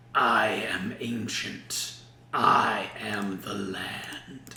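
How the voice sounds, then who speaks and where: A man's loud, booming, raspy put-on character voice at a medium pitch and a very slow pace. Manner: vast, imposing.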